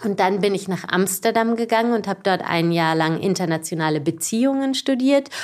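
This woman talks at a fairly quick pace with hardly any pauses, her pitch in the medium range. She has an unremarkable speaking voice. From southwestern Germany, Baden-Baden. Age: 40s. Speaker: cycling association executive. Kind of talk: casual interview. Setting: office.

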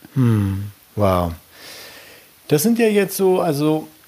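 A man's voice against noticeable background noise. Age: 50s. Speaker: podcast host. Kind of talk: interview. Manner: halting.

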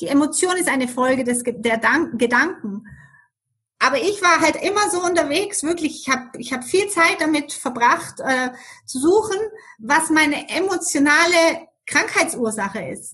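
A woman's raised, projected voice, high in pitch, with a bright, sharp tone and lively intonation. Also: moderate pace. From Germany. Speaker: business coach. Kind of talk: interview.

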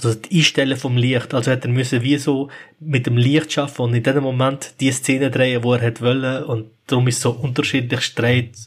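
This man's somewhat breathy voice sits at a medium pitch, moving at a moderate pace with hardly any pauses, very even loudness and monotone, flat intonation. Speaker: podcast co-host. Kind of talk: casual chat.

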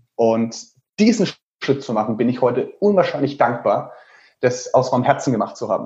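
A man takes long, frequent pauses while otherwise speaking at a moderate pace. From Lower Franconia, Germany (Würzburg). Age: 30s. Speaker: travel blogger and author. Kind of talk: interview.

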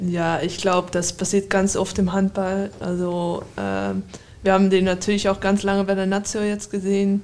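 Her voice sits at a medium pitch, and the woman speaks with monotone, flat intonation. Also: moderate pace. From Netherlands. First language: Dutch (speaking German). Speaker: professional handball player. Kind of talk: interview.

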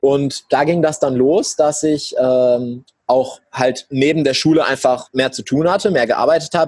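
Captured with a dry, close sound and no echo, a man has a normal speaking voice with a medium pitch and ordinary pitch variation. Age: young. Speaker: entrepreneur. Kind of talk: interview.

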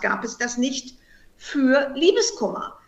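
Her voice is high-pitched, and this woman speaks at a fairly slow pace. Her pitch swings very widely. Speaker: heartbreak counselor and author. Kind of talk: interview.

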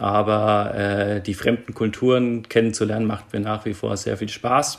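At a fairly slow pace, a man of medium pitch speaks in a plain, everyday voice. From Germany, Nuremberg (Franconia). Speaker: airline pilot and startup investor. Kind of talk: interview.

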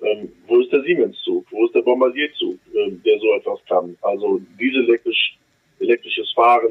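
A man speaks at a fairly slow pace. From Germany, Düsseldorf (Rhineland). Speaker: member of parliament, trained electrician. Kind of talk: interview. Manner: hesitant, many fillers.

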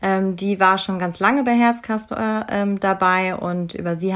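With an ordinary speaking voice, a woman talks at a moderate pace and medium pitch, showing ordinary pitch variation. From Bavaria, Munich. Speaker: psychology graduate, volunteer. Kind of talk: casual interview.

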